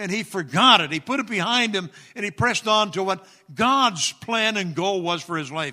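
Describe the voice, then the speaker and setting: A man's high-pitched, raised and projected voice, bright and sharp in tone, at a moderate pace with lively intonation. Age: 70s. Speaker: retired pastor, guest preacher. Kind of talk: sermon. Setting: church with congregation.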